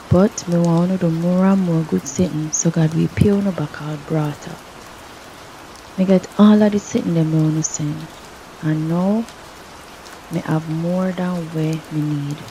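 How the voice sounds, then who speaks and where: A soft-spoken voice in a Jamaican accent, with long, frequent pauses and noticeable background noise. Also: woman, fairly low pitch for a woman, fairly even intonation, moderate pace. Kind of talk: scripture reading. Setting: rain background. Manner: soft-spoken, relaxing.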